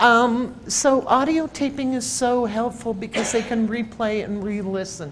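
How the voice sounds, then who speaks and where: Her pitch fairly high, a woman speaks at a fairly slow pace with ordinary pitch variation. Audible room echo follows her voice. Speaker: researcher presenting at a healthcare conference. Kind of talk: conference presentation. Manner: animated.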